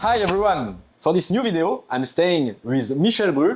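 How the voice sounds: With a slightly husky edge, a man's fairly high voice makes big pitch swings at a moderate pace.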